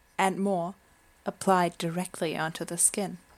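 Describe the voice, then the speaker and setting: Fairly slow speech from a woman at a medium pitch. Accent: slight German. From Germany. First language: German. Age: 20s. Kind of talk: casual chat.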